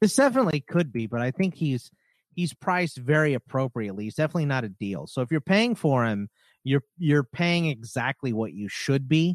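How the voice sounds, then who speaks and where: A man with a normal speaking voice talks fairly quickly at a fairly high pitch, with lively intonation. The sound is dry and close, with no echo. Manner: conversational, filler-heavy.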